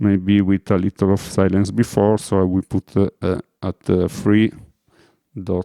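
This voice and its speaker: A man speaks with an Italian accent in a dark, mellow tone. His delivery is monotone and flat, and the sound is dry and close with no echo. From Italy. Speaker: music producer. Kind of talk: tutorial. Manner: halting, many fillers.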